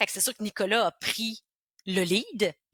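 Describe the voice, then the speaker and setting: Bright and sharp in tone, a woman speaks with a Quebec accent in a very clean recording with a silent background and a dry, close sound with no echo. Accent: Québécois French. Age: 40s. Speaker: entrepreneur. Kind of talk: interview. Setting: podcast. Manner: animated.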